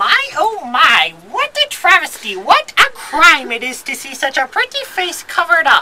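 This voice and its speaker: A put-on character voice with an extremely high pitch and very wide pitch swings. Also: moderate pace. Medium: audio drama. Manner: theatrical, wheedling.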